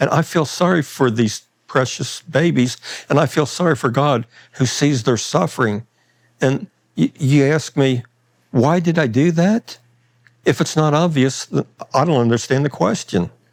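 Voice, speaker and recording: A man with an American accent at a moderate pace, ordinary pitch variation and very even loudness, with long, frequent pauses, in a very clean recording with a silent background. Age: 60s. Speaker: former arsonist and anti-abortion activist. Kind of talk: interview. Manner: halting.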